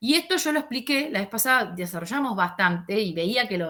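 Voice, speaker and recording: A woman with a bright, sharp tone speaks at a fairly quick pace with lively intonation. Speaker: sociology teacher. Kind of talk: lecture over video call. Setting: video call. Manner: fast; halting, many fillers.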